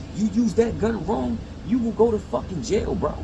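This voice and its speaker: Audible room echo surrounds this voice. A man speaks at a moderate pace. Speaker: YouTuber giving life advice. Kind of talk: casual vlog monologue. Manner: halting, repeats words; casual, profane.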